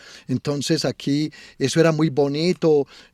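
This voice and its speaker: The sound is dry and close, with no echo at all. This man is heard on a very clean recording against a silent background. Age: 60s. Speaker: local culture and tourism promoter. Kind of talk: interview. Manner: halting, many repetitions.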